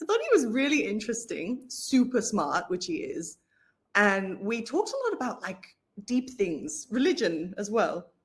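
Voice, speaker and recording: A woman's fairly high voice with an Australian accent and very wide pitch swings. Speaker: interviewee. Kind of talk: interview. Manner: fast.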